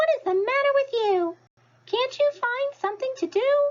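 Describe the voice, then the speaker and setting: A squeaky put-on character voice moves at a moderate pace. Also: woman, extremely high pitch for a woman. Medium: read story. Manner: rhyming, preachy.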